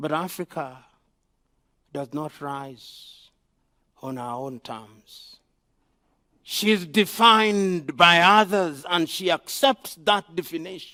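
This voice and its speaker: Over a silent background in a very clean recording, a bright, sharp tone carries lively intonation at a very slow pace with long, frequent pauses. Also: man, high pitch for a man. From Kenya. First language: African mother tongue. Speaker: professor. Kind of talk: conference speech. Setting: forum with panel and audience. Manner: rhetorical, emphatic.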